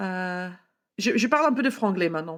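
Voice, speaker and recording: In an English accent, a woman speaks at a fairly slow pace. The recording is very clean, with a silent background. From California, US. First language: English (speaking French). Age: 30s. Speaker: wine entrepreneur. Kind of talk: casual interview chat. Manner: halting, hesitant French with English words.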